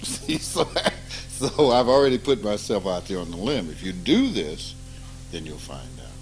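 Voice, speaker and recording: Over background music, a man talks at a moderate pace with long, frequent pauses. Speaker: spiritual teacher. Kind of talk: informal spiritual talk with students. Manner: animated.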